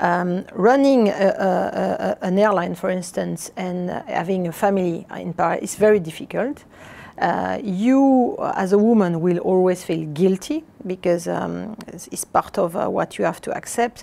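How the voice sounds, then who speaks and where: A woman speaks with a French accent in a dark, mellow tone, at a moderate pace with ordinary pitch variation. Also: medium pitch for a woman. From southern France, Avignon. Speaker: airline executive. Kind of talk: interview. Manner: halting, many fillers.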